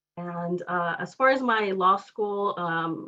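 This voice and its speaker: The speaker is a woman with a Spanish accent. Her pitch sits in the medium range. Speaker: law fellow awaiting bar results. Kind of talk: testimony. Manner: halting, many fillers.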